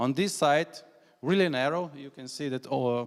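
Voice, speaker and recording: With a Slovenian accent, a man speaks at a fairly quick pace using ordinary pitch variation. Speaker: national cycling coordinator. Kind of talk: conference presentation. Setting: conference hall with audience. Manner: halting, many fillers.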